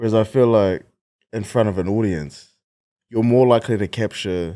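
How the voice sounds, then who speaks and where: A man with a New Zealand accent speaks at a moderate pace in a fairly low pitch, his tone dark and mellow and his pitch variation ordinary, on a very clean recording with a silent background. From New Zealand, Wellington. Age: 20s. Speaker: comedian. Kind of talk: casual chat.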